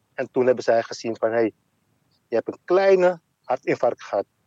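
A man's medium-pitched voice with a dark, mellow tone, ordinary pitch variation and a moderate pace, in a dry, close sound with no echo. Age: 50s. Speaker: heart attack survivor. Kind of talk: casual conversation.

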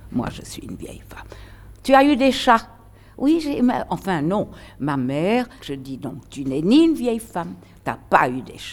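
A woman speaks fairly slowly with long, frequent pauses and vocal fry. Her pitch swings very widely and her loudness shifts greatly. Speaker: retired stage actress. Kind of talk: interview. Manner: animated.

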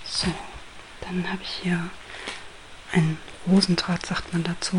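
Whispering in a gentle, calm tone, a woman is heard over noticeable background noise. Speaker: ASMR crafter. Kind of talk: ASMR whisper tutorial, hushed craft explanation. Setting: home recording with microphone, guinea pigs rustling. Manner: soft-spoken, slow and gentle, calm; halting, with pauses and rustling paper sounds.

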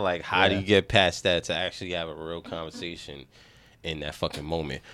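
A man speaks with a New York accent in a bright, sharp tone. The recording is very clean, with a silent background. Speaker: podcast co-host. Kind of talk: casual, slangy, heavy profanity.

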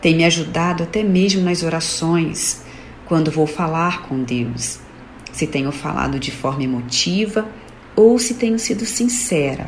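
Very wide pitch swings mark this fairly slow delivery, heard with audible room echo and noticeable background noise. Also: woman, fairly low pitch for a woman. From São Paulo, Brazil. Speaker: listener. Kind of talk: testimony.

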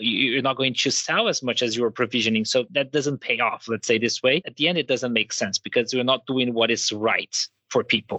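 With a Portuguese accent, a man speaks at a medium pitch. His pace is fairly quick and his intonation fairly even. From Brazil. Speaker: DEI and HR professional. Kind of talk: podcast interview. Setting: podcast recording.

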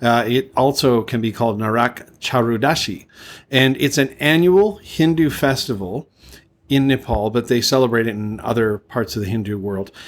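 At a moderate pace, a man with a normal speaking voice talks with ordinary pitch variation. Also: medium pitch for a man. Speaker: podcast co-host. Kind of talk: casual chat. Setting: remote call.

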